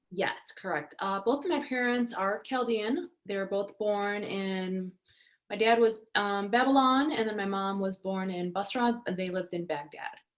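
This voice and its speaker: Speaking at a moderate pace, a woman with a Michigan accent uses a medium pitch and ordinary pitch variation. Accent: Michigan American. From Detroit area, Michigan, US. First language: Arabic (Iraqi). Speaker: actress and model. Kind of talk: interview.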